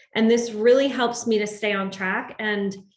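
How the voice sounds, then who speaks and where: A woman speaks at a moderate pace in a medium pitch, her intonation fairly even, with audible echo from the room. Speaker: medical professional sharing health tips. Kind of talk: online community presentation.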